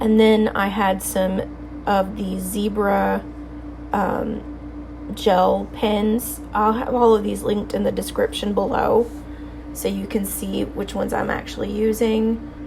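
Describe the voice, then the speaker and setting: Very slow speech from a woman, amid noticeable background noise and audible room echo. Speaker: bullet journaling youtuber. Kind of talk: casual tutorial voice-over. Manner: casual, hesitant with fillers.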